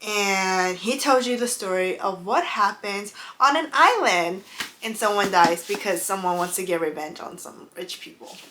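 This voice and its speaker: Noticeable background noise surrounds a woman speaking at a moderate pace, her medium-pitched voice showing ordinary pitch variation and big swings in loudness. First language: not English. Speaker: book and beauty YouTuber. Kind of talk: casual vlog chat. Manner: halting, stumbles over names.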